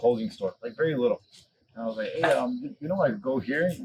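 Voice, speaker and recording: The speaker has an American accent and a fairly quick pace. The intonation is lively. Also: man. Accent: American, noticed by locals abroad. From Chicago, US. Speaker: podcast guest, former bar owner. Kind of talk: casual chat. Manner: animated storytelling.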